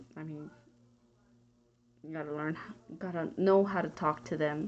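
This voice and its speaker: At a moderate pace, the speaker uses an American accent, with ordinary pitch variation and big swings in loudness. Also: woman, very deep, low pitch for a woman. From Texas. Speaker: college student and emergency dispatcher. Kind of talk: class discussion answer, casual monologue. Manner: halting, with fillers.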